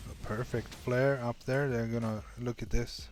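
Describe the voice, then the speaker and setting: Music plays in the background as a man speaks at a medium pitch. His delivery is monotone and flat at a fairly slow pace. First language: not English. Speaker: game streamer. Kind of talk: live commentary. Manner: halting.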